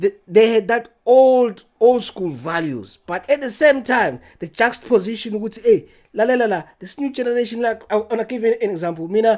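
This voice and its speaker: A speaker with a Zimbabwean accent talks at a fairly quick pace. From Zimbabwe, Matabeleland. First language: Ndebele. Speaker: podcast guest. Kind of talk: casual chat. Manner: halting, repeats words.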